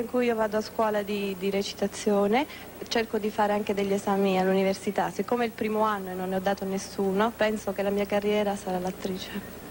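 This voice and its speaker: Woman at medium pitch, very fast and monotone with flat intonation, over noticeable background noise. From Italy, Rome. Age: 20s. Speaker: pageant contestant. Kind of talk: interview.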